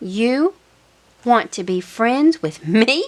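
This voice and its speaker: Putting on a character voice, a woman speaks at a fairly high pitch. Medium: read story. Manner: fearful, jumpy.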